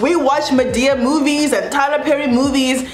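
Against light background noise and audible room echo, a woman speaks at a moderate pace in a high pitch. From South Africa. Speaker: YouTuber. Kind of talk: casual vlog monologue. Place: home room.

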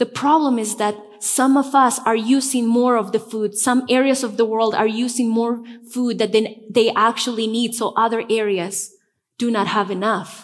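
With a Spanish accent, a woman talks in a fairly high pitch and fairly even intonation. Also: moderate pace. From Bolivia, La Paz. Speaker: pastor. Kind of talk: sermon. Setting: church. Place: church. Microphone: headset.

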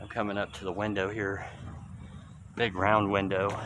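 Noticeable background noise sits under a dry sound with no echo. A man with a fairly low pitch talks at a moderate pace. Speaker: urban explorer vlogger. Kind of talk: casual vlog chat. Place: church. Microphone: phone near.

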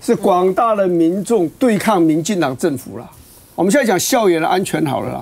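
A man with a Taiwanese accent speaks at a moderate pace. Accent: Taiwanese Mandarin. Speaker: former legislator. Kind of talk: heated debate. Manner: loud. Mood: indignant, argumentative. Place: studio.

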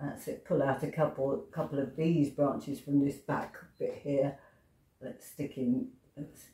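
With an English accent, a woman speaks at a fairly slow pace in a very deep, low voice that is somewhat breathy and dark and mellow in tone. Her intonation is fairly even, and the room echo is audible. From England. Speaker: pastel artist. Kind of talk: tutorial. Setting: home studio. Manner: hesitant.

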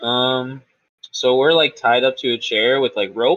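His tone is fairly bright, and this man's pitch is medium with ordinary variation. He talks at a fairly slow pace.

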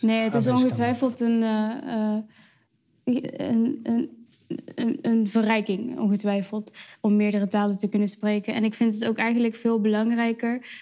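A woman's dark, mellow voice, fairly high in pitch, monotone and flat, very even in loudness, at a moderate pace against a quiet background. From Netherlands. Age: 20s. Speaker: slam poet. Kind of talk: interview answer. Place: cafe. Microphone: lapel.

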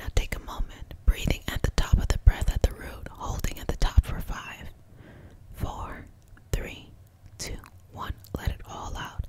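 A woman whispers in a calm tone, with long, frequent pauses. Her loudness swings widely. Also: fairly slow pace. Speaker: reiki master teacher and healer. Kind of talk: guided reiki healing session. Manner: soft-spoken, calm, encouraging. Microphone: studio mic.

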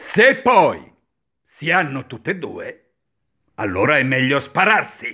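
The speaker talks at a very slow pace with long, frequent pauses, a bright, sharp tone and very wide pitch swings against a quiet background. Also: man, high pitch for a man. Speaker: dubbing teacher, voice actor. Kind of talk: instructional lesson on diction, ironic tone. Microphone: webcam.

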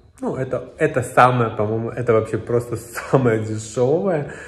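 A somewhat breathy man is heard with audible room echo. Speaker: travel vlogger. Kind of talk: casual vlog chat. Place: home room. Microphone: phone near.

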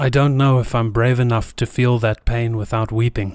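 In a very clean recording with a silent background, the speaker goes at a fairly slow pace with monotone, flat intonation. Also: man. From South Africa. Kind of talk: reflective philosophical narration.

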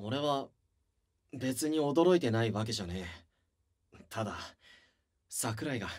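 A put-on character voice, gruff and pitched low-to-middle, moves at a fairly slow pace. Long pauses come often. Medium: audio drama. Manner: gruff, rough-spoken, blunt.

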